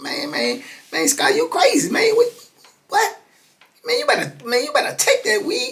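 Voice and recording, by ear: A squeaky, put-on character voice at an extremely high pitch, moving at a moderate pace with long, frequent pauses.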